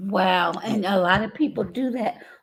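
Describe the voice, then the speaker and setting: A woman with a fairly high pitch talks with lively intonation and vocal fry. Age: 60s. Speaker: podcast co-host. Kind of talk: casual podcast discussion. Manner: halting.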